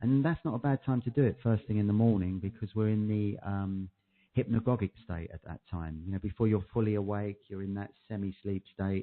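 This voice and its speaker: The speaker talks at a fairly quick pace with a British accent. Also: man, fairly low pitch for a man. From UK. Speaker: clinical hypnotherapist. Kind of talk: interview. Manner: monotone at times. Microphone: echo on the line.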